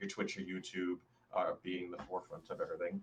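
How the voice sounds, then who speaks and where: A man talks at a fairly quick pace with noticeable background noise present. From Canada. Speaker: gaming streamer and podcast co-host. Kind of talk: casual chat. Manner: laid back.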